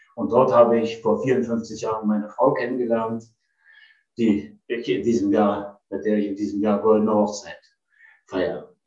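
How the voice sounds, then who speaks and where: Long, frequent pauses and fairly even intonation, with music in the background. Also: man, medium pitch for a man, moderate pace. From eastern Germany (Potsdam). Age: 70s. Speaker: retired travel executive. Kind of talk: personal storytelling.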